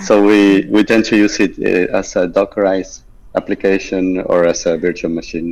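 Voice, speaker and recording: This man has an Argentine accent. He talks at a moderate speed. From Argentina. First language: Spanish. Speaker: software engineer. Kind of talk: interview.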